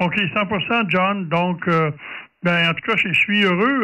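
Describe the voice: A man speaks with a bright, sharp tone, high pitch and ordinary pitch variation.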